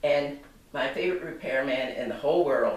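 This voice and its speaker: Noticeable background noise and audible room echo fill the recording. A woman speaks at a moderate pace. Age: 80s+. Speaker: consumer complaining about appliance. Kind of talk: personal testimony to camera. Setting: home kitchen. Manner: halting, self-correcting.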